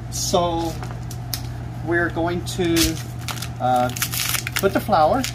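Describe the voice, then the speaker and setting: A man with an American accent speaks at a very slow pace. Long, frequent pauses break up his speech over noticeable background noise. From Oklahoma. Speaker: YouTube cooking host. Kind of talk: cooking tutorial. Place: kitchen.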